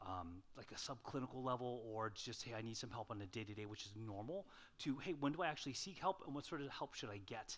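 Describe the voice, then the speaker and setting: Very fast and with lively intonation, a man speaks at a medium pitch. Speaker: psychologist, guest speaker. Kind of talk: lecture. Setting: stage with audience. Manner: hesitant, with many fillers.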